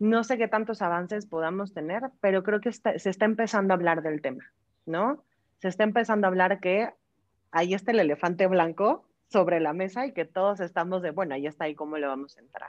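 A woman in a Mexican accent talks at a fairly quick pace with medium pitch and ordinary pitch variation. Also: quiet background. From Mexico. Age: 30s. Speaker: human resources director. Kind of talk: interview. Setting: video call.

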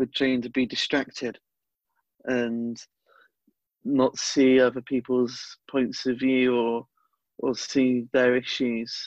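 Long, frequent pauses at a very slow pace, against a quiet background. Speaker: podcast host, party activist. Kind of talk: interview.

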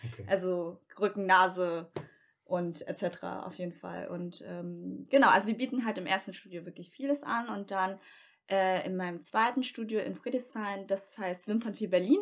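At a moderate pace, a woman talks with medium pitch and ordinary pitch variation. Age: 30s. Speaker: beautician and small business owner. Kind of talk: casual chat.

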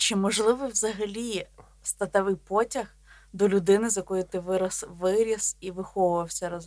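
Using a normal speaking voice, a woman talks at a moderate pace and medium pitch with fairly even intonation. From Volhynia, western Ukraine. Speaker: podcast co-host, biologist. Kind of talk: casual chat.

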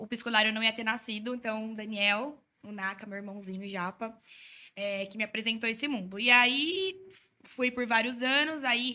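At a moderate pace, a woman speaks in a fairly high, bright, sharp voice with fairly even intonation. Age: 20s. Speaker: psytrance content creator. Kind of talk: casual chat.

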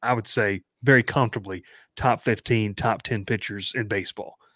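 A man with a plain, everyday voice and ordinary pitch variation, in a very clean recording with a silent background and a dry, close sound with no echo. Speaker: podcast host. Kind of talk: casual sports podcast chat.

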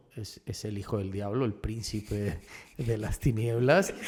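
A man at a moderate pace. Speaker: actor and director. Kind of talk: casual interview chat.

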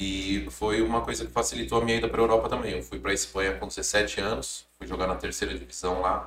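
A man talks at a very fast pace with hardly any pauses. His pitch swings very widely, and vocal fry comes through. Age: 30s. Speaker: clothing brand founder, former footballer. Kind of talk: casual interview chat.

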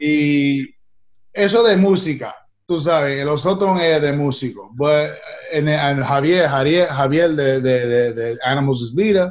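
This man has an English accent and a fairly high pitch. He speaks very slowly with ordinary pitch variation. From New York (Queens), Puerto Rican-Italian family. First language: English (speaking Spanish). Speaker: actor and musician. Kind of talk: interview. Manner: halting, frequent repetitions and English code-switching.

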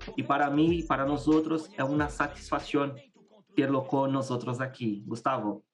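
A man speaks with a Portuguese accent at a fairly high pitch. His pace is moderate, and his pitch varies in an ordinary way. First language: Portuguese (speaking Spanish). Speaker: podcast host, master's student. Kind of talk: podcast intro; interview.

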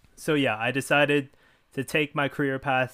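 A man with a Canadian accent speaks at a moderate pace. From Canada, Ontario (Richmond Hill). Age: young. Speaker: podcast host and university student. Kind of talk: casual monologue.

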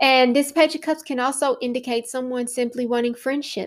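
A woman with a high pitch at a moderate pace, on a very clean recording with a silent background. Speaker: tarot podcast host. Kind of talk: solo podcast tutorial on tarot card meanings. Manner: casual, chatty with frequent fillers.

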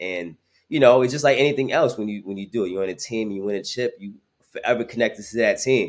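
A man with a New York accent talks at a very fast pace, his loudness swinging widely. His pitch is medium, with ordinary variation. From Brooklyn, New York. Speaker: sports marketing executive. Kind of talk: podcast interview.

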